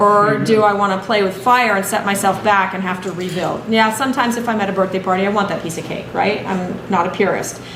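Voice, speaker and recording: A woman with a medium-pitched voice talks very fast, hardly pausing at all. Audible room echo and noticeable background noise are present. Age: 60s. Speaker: health educator. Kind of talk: workshop talk. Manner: animated.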